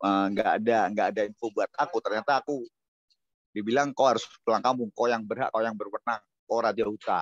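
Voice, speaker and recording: A man with medium pitch talks at a very fast pace. The sound is dry and close, with no echo. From Semarang, Central Java. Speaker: Batak clan heir, video call guest. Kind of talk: casual chat.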